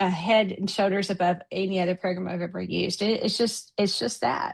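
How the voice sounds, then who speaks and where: A woman with vocal fry speaks at medium pitch with fairly even intonation. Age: 60s. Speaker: coaching client. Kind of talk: testimonial interview. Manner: halting, many fillers.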